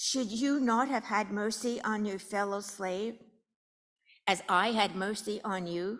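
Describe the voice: At a slow pace, a woman speaks with a medium pitch and ordinary pitch variation. Her tone is fairly bright.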